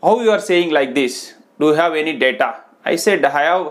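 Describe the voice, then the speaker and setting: The man speaks with ordinary pitch variation at a fairly slow pace, the background quiet. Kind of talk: advice talk to camera. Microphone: lapel.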